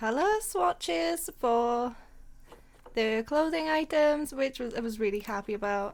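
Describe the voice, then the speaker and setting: The speaker has a Welsh accent. The tone is excited and upbeat. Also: woman. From Wales. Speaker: gaming YouTuber. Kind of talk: casual let's play commentary. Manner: excited, upbeat.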